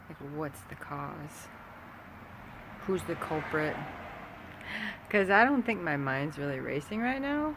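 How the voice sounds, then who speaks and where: Soft-spoken and very slow, a woman talks in a very deep, low pitch. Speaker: vlogger. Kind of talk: casual vlog monologue. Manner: halting.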